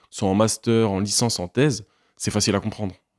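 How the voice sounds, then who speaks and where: In a very clean recording with a silent background and a dry, close sound free of echo, a man speaks fairly quickly with a fairly low pitch and fairly even intonation. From Normandy, France (Caen). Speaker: history graduate student. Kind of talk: interview. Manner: hesitant, with many fillers.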